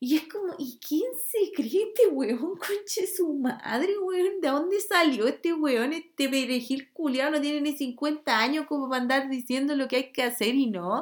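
With a Chilean accent, a woman of high pitch speaks at a fairly slow pace in an animated tone, with lively intonation and hardly any pauses. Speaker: podcast host. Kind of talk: casual monologue. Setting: home bedroom.

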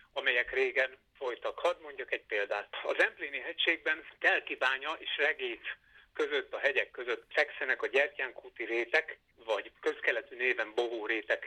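The man's voice is dry and close with no echo, and his pace is moderate. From Hungary, Veszprém. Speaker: botany professor. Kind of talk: interview.

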